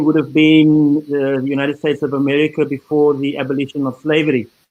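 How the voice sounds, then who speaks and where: Monotone and flat in intonation, a man speaks at a fairly quick pace. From South Africa. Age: 60s. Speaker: former truth commission member, panelist. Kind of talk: panel discussion. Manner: halting, many fillers.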